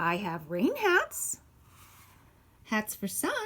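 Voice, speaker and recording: Putting on a character voice, a woman speaks at a fairly high pitch. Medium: read story. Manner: eager, persistent.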